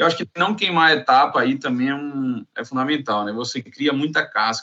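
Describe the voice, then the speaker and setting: Using ordinary pitch variation, a man talks in a fairly high voice. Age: 30s. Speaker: construction operations manager. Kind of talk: casual chat. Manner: halting.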